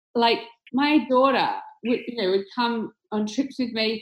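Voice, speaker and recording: With an Australian accent, a woman talks at a moderate pace and a fairly high pitch. Her intonation stays fairly even. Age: 40s. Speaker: tech company executive. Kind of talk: interview.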